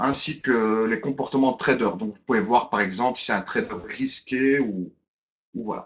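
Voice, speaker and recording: A man with a Brussels accent speaks at a medium pitch and moderate pace, with ordinary pitch variation and big swings in loudness. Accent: Brussels Belgian French. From Belgium, Brussels. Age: 30s. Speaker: webinar presenter. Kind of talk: webinar presentation. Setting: online webinar.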